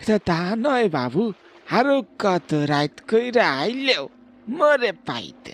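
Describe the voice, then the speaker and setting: Fairly slow delivery in a cartoonish character voice with a fairly high pitch. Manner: folksy, sinister undertone.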